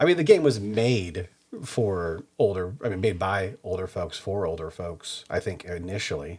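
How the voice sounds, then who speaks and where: A man with an American accent speaks slowly at a fairly low pitch, his voice somewhat breathy. His loudness swings widely while his pitch varies in an ordinary way. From US Midwest, Kansas City area. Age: 40s. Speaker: podcast host. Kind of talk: casual chat.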